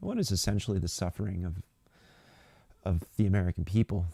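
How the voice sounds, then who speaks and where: A soft-spoken man with a very deep, low pitch and dark, mellow tone talks with fairly even intonation in a dry, close sound with no echo. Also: very clean recording, silent background. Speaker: political commentary livestream host. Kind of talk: live stream commentary. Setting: live stream from a local space. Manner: hesitant, many fillers.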